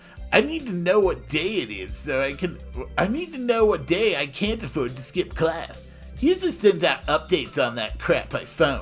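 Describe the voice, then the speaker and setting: Someone puts on a character voice at a moderate pace. Music is clearly heard behind it. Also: man. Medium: read story. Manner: casual, slangy, offbeat.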